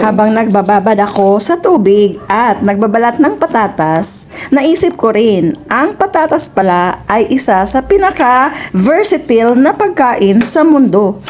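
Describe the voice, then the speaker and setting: A woman with a Visayan accent, fairly high in pitch with very wide pitch swings, at a fairly slow pace amid noticeable background noise. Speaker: cooking vlogger. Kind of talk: casual storytelling while cooking. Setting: home kitchen. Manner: stumbling over words.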